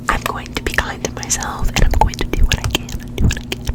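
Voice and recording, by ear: The speaker is a woman, and she whispers.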